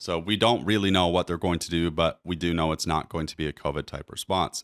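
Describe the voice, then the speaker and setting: In a Maritime accent, a man with a very deep, low voice speaks at a fairly quick pace with fairly even intonation. The recording is very clean and dry, with a close sound, no echo and a silent background. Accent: Canadian English, Maritimes. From New Brunswick, Canada. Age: 30s. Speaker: realtor. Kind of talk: market commentary video. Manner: casual, conversational.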